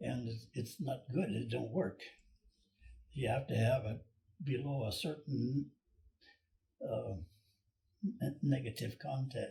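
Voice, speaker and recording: This is a man with an Alaskan accent. He talks at a very slow pace. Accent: Alaskan American English. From Cordova, Alaska. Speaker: boat builder, retired shipyard superintendent. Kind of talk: interview answer.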